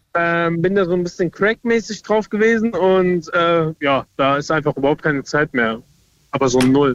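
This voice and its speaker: Speaking at a moderate pace, a man keeps his loudness very even. His pitch is high, and the sound is dry and close with no echo. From Südhessen (Lorsch). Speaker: caller. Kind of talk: phone-in chat.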